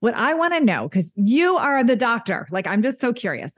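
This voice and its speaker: The voice is somewhat breathy and swings very widely in pitch. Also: woman. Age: 50s. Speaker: fitness coach. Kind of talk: casual chat.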